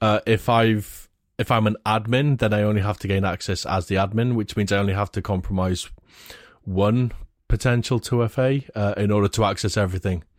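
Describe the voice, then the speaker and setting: A man with a plain, everyday voice, fairly low in pitch, at a fairly quick pace with fairly even intonation, on a very clean recording with a silent background, dry and close with no echo. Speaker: security expert. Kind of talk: casual chat.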